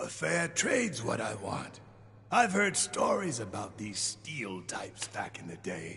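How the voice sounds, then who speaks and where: Using a put-on character voice, a man drawls at a fairly slow pace in a medium pitch, with big swings in loudness and light background noise. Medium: video game. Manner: folksy, drawling.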